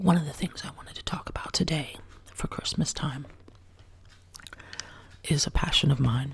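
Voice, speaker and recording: Someone whispers at a moderate pace with long, frequent pauses. Noticeable background noise runs underneath. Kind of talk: ASMR soft-spoken whisper talk to camera. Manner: soft-spoken, whispered.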